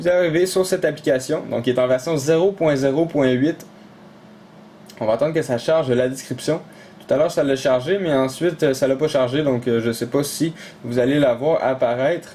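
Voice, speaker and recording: A man with a Quebec accent speaks at a moderate pace, his fairly high pitch held at a very even loudness. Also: ordinary pitch variation. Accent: Québécois French. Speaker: tech tutorial YouTuber. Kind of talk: tutorial. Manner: casual, many filler hesitations.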